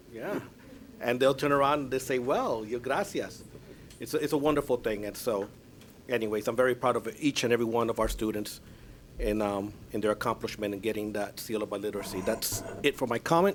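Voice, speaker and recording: With a Spanish accent, a man speaks fairly quickly at a medium pitch, his pitch varying in an ordinary way. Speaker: school board chair. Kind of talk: public meeting remarks.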